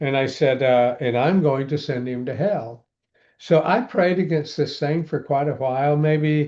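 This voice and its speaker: Against a quiet background, a man speaks at a fairly slow pace in a fairly high pitch with a dark, mellow tone and ordinary pitch variation. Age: 70s. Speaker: pastor and exorcist, author. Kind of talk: interview storytelling. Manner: halting, with many fillers.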